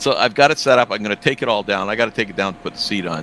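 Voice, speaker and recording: With noticeable background noise behind him, a man at a fairly low pitch speaks with lively intonation. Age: 70s. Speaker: sim racing driver. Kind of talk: casual chat. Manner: halting.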